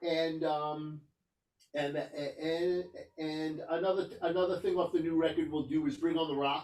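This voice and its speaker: A man with a New York accent speaks at a moderate pace in a high pitch. His intonation is monotone and flat. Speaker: rock guitarist. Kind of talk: interview. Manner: halting, many fillers and restarts.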